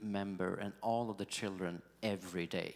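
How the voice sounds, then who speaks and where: Speaking in a Swedish accent, a man keeps a moderate pace. His pitch is fairly low and his intonation fairly even. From Sweden. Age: 40s. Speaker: pastor. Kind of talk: interview.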